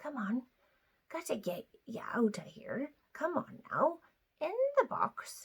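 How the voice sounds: Whispering in a put-on character voice, a female-sounding speaker sounds hoarse, moving at a fairly slow pace with long, frequent pauses.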